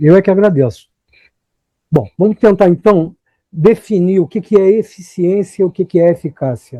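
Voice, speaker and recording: In a dry, close recording with no echo, a man with a high pitch and a dark, mellow tone speaks at a moderate pace with ordinary pitch variation and long, frequent pauses. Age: 60s. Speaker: motivational speaker. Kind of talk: lecture. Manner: animated.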